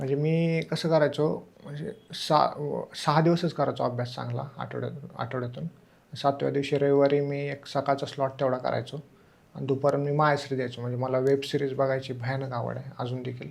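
A man with a plain, everyday voice, a fairly high pitch and fairly even intonation. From Maharashtra, Solapur district (Mohol taluka). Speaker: civil service exam topper, deputy collector. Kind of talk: interview.

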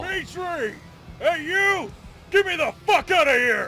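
A man shouts in a put-on character voice at an extremely high pitch. Clear background noise can be heard. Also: moderate pace. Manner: taunting, crude, shouting.

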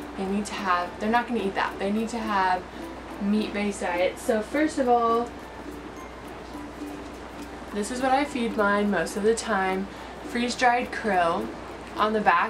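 Music plays behind a woman's voice. She leaves long, frequent pauses. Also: ordinary pitch variation, fairly slow pace. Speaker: fish keeper vlogger. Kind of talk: tutorial. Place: home room. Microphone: camera far.

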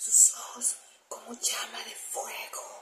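Whispering at a very slow pace, a woman speaks in a solemn, dramatic tone. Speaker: ASMR scripture reader. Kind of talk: scripture reading aloud as ASMR, dramatic narration. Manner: slow, hushed, solemn, dramatic delivery. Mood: dramatic, spooky storytelling. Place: home room. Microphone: phone near.

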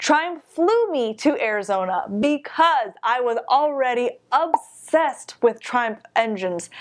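The speaker talks at a fairly slow pace with lively intonation. The background is quiet. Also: woman. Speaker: motorcycle vlogger. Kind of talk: casual vlog chat. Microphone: phone near.

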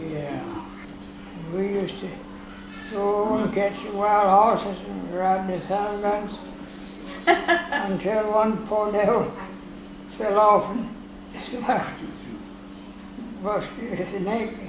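A high-pitched man with an American accent speaks very slowly in a monotone, flat intonation, leaving long, frequent pauses amid noticeable background noise. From North Carolina. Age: 80s+. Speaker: former mail carrier. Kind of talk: interview answer. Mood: relaxed reminiscing. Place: home room. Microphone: camera far.

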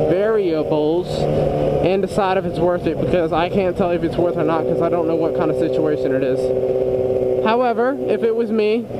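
Over loud background noise, a man talks at a fairly quick pace with ordinary pitch variation, the sound dry with no echo. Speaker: motorcycle vlogger. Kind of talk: casual vlog chat. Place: motorbike. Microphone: helmet.

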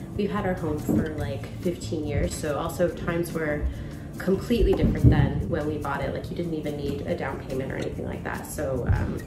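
A woman talks at a fairly quick pace over loud music in the background. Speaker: home renovator vlogger. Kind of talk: casual vlog chat. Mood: calm, reflective. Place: kitchen. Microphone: phone near.

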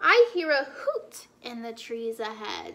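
Putting on a character voice, a woman speaks slowly at a fairly high pitch with very wide pitch swings. Her tone is bright and sharp, with vocal fry.

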